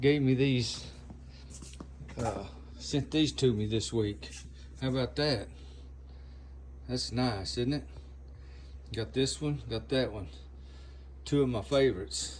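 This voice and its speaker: A man with an American accent, fairly low-pitched and somewhat breathy, at a fairly slow pace with very wide pitch swings, long, frequent pauses and audible room echo. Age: 70s. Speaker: air gun customizer and video host. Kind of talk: casual show-and-tell video. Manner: halting, many fillers.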